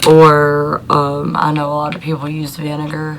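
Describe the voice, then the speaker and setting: A woman speaks at a fairly slow pace in a very deep, low voice with monotone, flat intonation. Noticeable background noise and audible room echo surround her. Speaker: YouTuber answering denture questions. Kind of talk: casual Q&A talk to camera. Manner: hesitant, many fillers.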